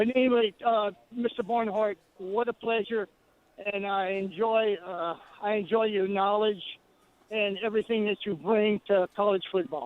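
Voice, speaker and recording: At a moderate pace, a man with a high pitch talks in fairly even intonation. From Louisiana, New Iberia. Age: 70s. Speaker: caller. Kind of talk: phone-in call. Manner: halting.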